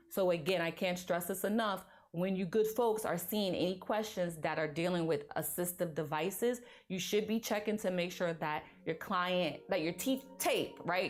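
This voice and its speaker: Her tone animated and her pitch medium, a woman speaks with audible room echo around her. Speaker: nursing exam review instructor. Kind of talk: lecture.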